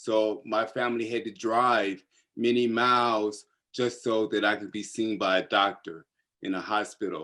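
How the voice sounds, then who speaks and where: Against a quiet background, a man with an American accent speaks at a moderate pace in a medium pitch, his tone bright and sharp and his intonation fairly even. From US South, North Carolina. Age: 60s. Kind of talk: personal testimony in discussion.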